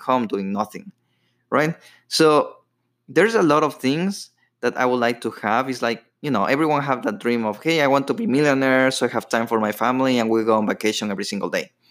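A man with a medium pitch and ordinary pitch variation speaks at a fairly quick pace in a very clean recording with a silent background. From Ecuador. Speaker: podcast host. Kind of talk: personal storytelling monologue. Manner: casual, with filler words.

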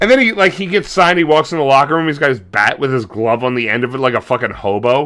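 This voice has a bright, sharp, animated tone and lively intonation, delivered at a very fast pace. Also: man, fairly high pitch for a man. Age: 40s. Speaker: wrestling podcast co-host. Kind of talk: casual chat.

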